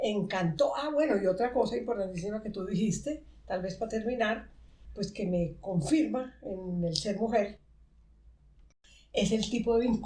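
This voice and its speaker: Speaking at a fairly slow pace, a woman has a medium pitch, a somewhat breathy, dark, mellow tone and ordinary pitch variation. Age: 70s. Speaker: podcast host and therapist. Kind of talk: podcast conversation. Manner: halting.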